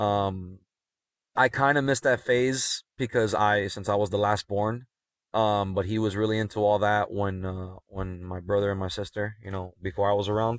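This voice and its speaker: In a normal speaking voice with an American accent, a man talks at a moderate pace with fairly low pitch and fairly even intonation, the sound dry and close with no echo over a quiet background. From Miami, Florida (Cuban American family). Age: 30s. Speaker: special-needs educator and coach. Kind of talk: casual chat. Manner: frequent fillers and self-repeats.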